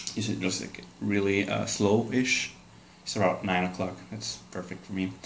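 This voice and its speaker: A man speaks in a fairly low voice. Audible room echo and noticeable background noise surround him. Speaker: guitarist demonstrating gear. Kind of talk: casual gear rundown. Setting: at home. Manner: hesitant, many fillers; quiet.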